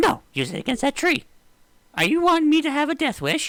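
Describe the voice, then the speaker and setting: A man puts on a character voice with an extremely high pitch. He talks at a fairly quick pace. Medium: actual play. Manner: friendly, theatrical.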